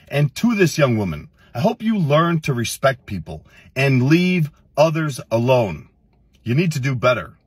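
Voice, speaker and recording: A man speaks in a somewhat breathy voice. The sound is dry with no echo, and the background is quiet. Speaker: fitness content creator. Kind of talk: reaction commentary. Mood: irritated, scolding. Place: car. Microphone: phone near.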